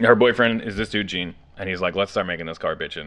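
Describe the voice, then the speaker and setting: A man speaks with a bright, sharp tone. His pitch varies in an ordinary way. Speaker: car builder vlogger. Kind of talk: casual vlog chat. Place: garage. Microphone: phone near.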